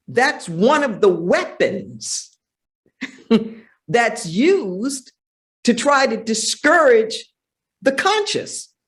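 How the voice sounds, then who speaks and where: Speaking with an American accent, a woman talks very slowly in a high pitch, with very wide pitch swings and long, frequent pauses. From Los Angeles, US. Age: 60s. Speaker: minister and spiritual teacher. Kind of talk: interview. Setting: sanctuary, live event. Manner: animated.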